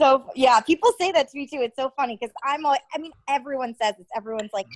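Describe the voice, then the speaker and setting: A woman with an East Coast US accent speaks very fast at a high pitch, her pitch varying in an ordinary way. Her loudness swings a lot, and the sound is dry and close with no echo. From Connecticut, near New York City. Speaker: TV news reporter. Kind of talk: casual interview chat.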